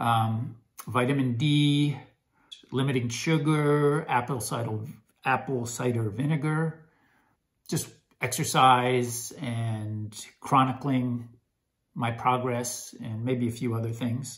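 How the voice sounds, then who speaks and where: A somewhat breathy man's voice at medium pitch, with audible room echo, fairly even intonation, a very slow pace and long, frequent pauses. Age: 60s. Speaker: health vlogger. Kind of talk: casual vlog monologue. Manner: hesitant, many fillers.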